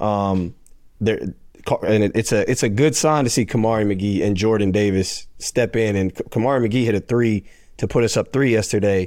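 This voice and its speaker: In an ordinary speaking voice, a man with an American accent talks at a moderate pace, his fairly low pitch held in fairly even intonation and very even loudness. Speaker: former college basketball player, now pro overseas. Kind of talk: casual chat. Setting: remote call.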